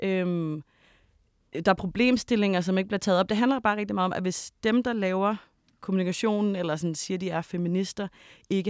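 This woman has an unremarkable speaking voice at medium pitch, talking at a moderate pace with ordinary pitch variation in a dry, close, echo-free recording that is very clean with a silent background. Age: 30s. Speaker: documentary maker. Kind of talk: panel discussion. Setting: studio.

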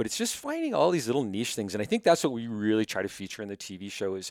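Talking at a very fast pace with a Canadian accent, a man is heard in a very clean recording with a silent background and a dry, close sound with no echo. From Manitoba, Canada (Winnipeg). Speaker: hunting TV host. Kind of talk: casual chat. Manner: loud.

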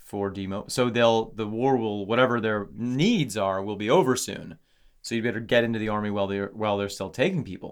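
This man has a fairly low pitch and ordinary pitch variation, talking at a fairly quick pace. The recording is very clean and the background silent. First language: not English. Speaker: podcast co-host. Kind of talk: casual chat. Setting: studio.

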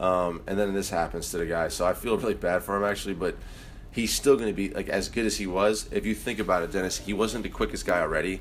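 This man talks at a very fast pace with a fairly low pitch. His intonation is fairly even. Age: 40s. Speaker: basketball head coach. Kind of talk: casual interview.

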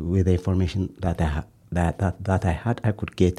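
Somewhat breathy speech in a dark, mellow tone, at a moderate tempo. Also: man. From Ethiopia. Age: 40s. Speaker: asylum seeker. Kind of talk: interview. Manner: halting, frequent hesitations.

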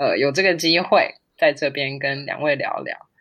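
Fairly slow speech against a quiet background. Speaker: neuroscientist and amateur pianist. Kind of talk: interview conversation.

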